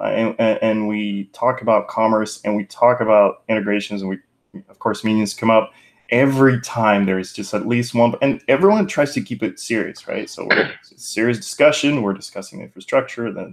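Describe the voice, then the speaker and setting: Speaking at a moderate pace, a man shows ordinary pitch variation and big swings in loudness. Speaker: presenter. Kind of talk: casual meeting introduction. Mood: friendly, joking. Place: home room. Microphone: earbuds.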